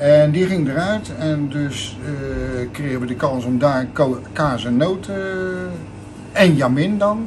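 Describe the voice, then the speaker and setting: A man at a very slow pace, fairly high in pitch with very wide pitch swings, amid noticeable background noise. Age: 50s. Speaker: shopkeeper. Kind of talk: interview. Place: shop.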